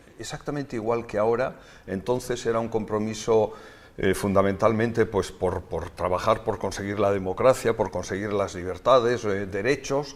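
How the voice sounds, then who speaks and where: A man speaks in an ordinary speaking voice with a fairly low pitch. His pace is moderate and his intonation fairly even. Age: 60s. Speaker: politician and doctor. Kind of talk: interview.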